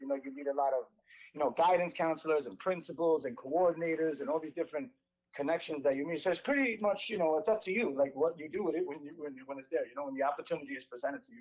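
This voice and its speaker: At a very fast pace, a man with a fairly high pitch talks in a New York accent. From New York City, the Bronx. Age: 40s. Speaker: inline skating instructor. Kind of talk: casual interview. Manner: rambling.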